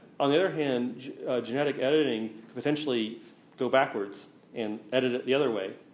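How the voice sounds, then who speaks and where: With audible room echo, a man speaks in fairly even intonation. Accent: American. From US South, east Tennessee. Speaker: researcher giving public talk. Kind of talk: lecture Q&A. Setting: museum talk with live audience.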